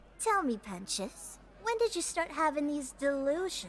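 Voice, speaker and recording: A cartoonish character voice speaks with high pitch at a moderate pace. Its pitch swings very wide over clear background noise. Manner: smooth, patronizing.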